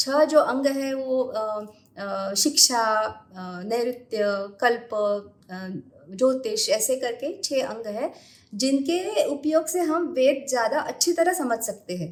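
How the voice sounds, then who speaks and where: A woman speaks in a high pitch with very wide pitch swings. Her loudness swings widely too. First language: Marathi (speaking Hindi). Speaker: astrologer. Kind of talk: podcast interview. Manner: halting, many hesitations.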